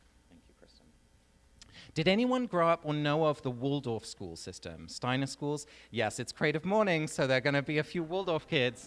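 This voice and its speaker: A man with an English accent speaks at a fairly high pitch with lively intonation and big swings in loudness, on a very clean recording with a silent background. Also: moderate pace. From England. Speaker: author and speaker. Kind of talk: talk to a live audience. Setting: stage with audience. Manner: conversational, many fillers.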